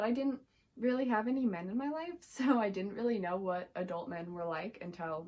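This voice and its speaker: With a fairly high pitch, a woman speaks in a normal speaking voice. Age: 20s. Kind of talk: casual talk to camera.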